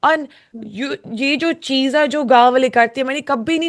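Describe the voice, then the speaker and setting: A woman speaks with an English accent in a high pitch. Her pitch varies in an ordinary way. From UK. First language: English (speaking Hindi). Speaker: singer, reality show contestant. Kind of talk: interview. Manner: slow, halting Hindi.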